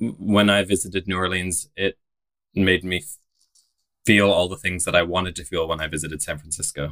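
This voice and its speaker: A man's very deep, low voice with a British accent, bright, sharp tone, fairly even intonation, and moderate pace, marked by long, frequent pauses, on a very clean recording with a silent background. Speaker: podcast host, drag performer. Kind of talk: casual interview chat.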